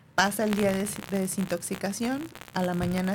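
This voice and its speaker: A woman at medium pitch with fairly even intonation and a fairly slow pace, with noticeable background noise. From northern Mexico (Monterrey / Durango). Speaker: hypnotherapist. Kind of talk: interview.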